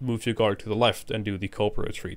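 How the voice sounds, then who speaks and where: A man's fairly low-pitched voice with a non-native accent. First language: not English. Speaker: gaming tutorial creator. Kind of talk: tutorial. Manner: casual, hesitant with fillers.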